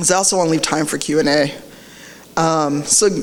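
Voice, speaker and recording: Amid noticeable background noise and audible room echo, a woman with a very deep, low pitch speaks at a very fast pace with ordinary pitch variation. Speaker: diversity advocate, conference speaker. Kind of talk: conference talk.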